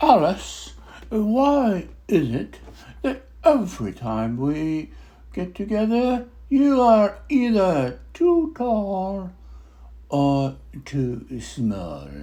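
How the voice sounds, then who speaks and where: Very slow delivery in a put-on character voice, broken by long, frequent pauses. The pitch swings very widely. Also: man. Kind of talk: theatrical dramatic monologue. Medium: solo performance. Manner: rambling, hesitant, with many uh's and restarts.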